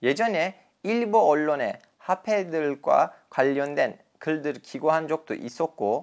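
A man speaks with a Turkish accent against a quiet background. His fairly high voice carries lively intonation. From Turkey. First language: Turkish (speaking Korean). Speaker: journalist and podcast host. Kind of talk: solo educational podcast.

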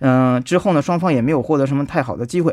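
The recording is very clean and the background silent. A man talks with ordinary variation in pitch. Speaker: sports commentator. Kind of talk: radio sports news talk. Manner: filler-heavy, hesitant.

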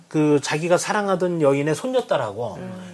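Pitch swings very widely while the speech unfolds at a fairly slow speed. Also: man. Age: 40s. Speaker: company head and book lover. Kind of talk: casual interview chat.

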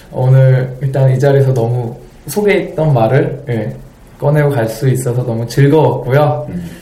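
A man's voice rises and falls with ordinary pitch variation, with audible room echo and noticeable background noise in the recording. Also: medium pitch for a man, moderate pace. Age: 30s. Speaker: stage actor. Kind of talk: interview.

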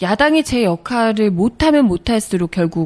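Very wide pitch swings mark a woman's medium-pitched voice. She talks at a moderate pace, and the sound is dry and close with no echo. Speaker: announcer. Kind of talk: radio-style lecture hosting.

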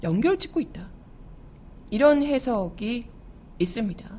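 A woman speaks loudly and in an animated way. Her fairly high voice swings very widely in pitch. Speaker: radio news show host and announcer. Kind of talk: news commentary. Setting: studio.

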